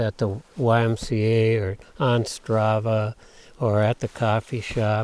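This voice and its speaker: A man's medium-pitched, dark and mellow voice with an Upper Midwest accent, dry and close with no echo. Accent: Upper Midwest American. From Minnesota North Shore. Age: 70s. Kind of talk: interview answer. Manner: casual, hesitant.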